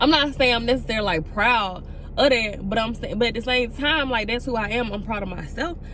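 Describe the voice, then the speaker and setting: Speaking at a fairly quick pace, a woman with a fairly high pitch is heard amid noticeable background noise and audible room echo. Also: ordinary pitch variation. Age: 20s. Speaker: vlogger. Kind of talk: casual vlog monologue. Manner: relaxed, natural flowing speech.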